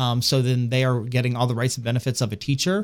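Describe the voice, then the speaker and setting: A man with a medium-pitched, normal speaking voice talks at a fairly quick pace in a very clean recording with a silent background. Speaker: school HR staff. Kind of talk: radio interview.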